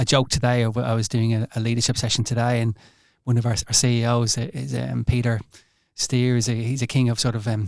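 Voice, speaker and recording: A man with an Irish accent, medium pitch, monotone flat intonation and a very fast pace. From Ireland. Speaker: hospital doctor. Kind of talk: podcast interview.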